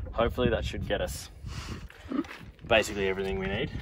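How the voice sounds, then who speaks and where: Over loud background noise, a man talks very fast, and the sound is dry with no echo. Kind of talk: casual vlog chat. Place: open country.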